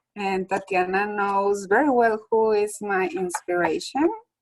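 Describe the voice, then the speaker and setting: A woman with a Spanish accent, medium pitch, ordinary pitch variation and a very slow pace. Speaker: school staff member. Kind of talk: casual chat.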